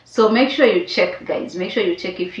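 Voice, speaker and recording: Fairly high-pitched female voice over noticeable background noise. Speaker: immigration advice vlogger. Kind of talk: tutorial.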